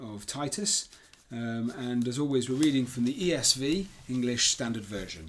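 Over a silent background in a very clean recording, a man with a British accent speaks at a fairly slow pace with lively intonation. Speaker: church leader and podcast host. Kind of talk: Bible study discussion and scripture reading.

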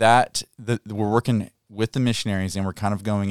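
Fairly quick speech with a Kentucky accent, very clean recording over a silent background, dry and close with no echo. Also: man. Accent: Kentucky Southern US. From Kentucky, Muhlenberg County. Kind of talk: casual interview. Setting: studio.

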